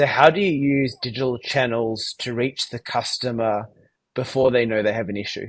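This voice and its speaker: A man with an Australian accent, moderate pace and fairly even intonation. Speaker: tech company founder and CEO. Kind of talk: interview.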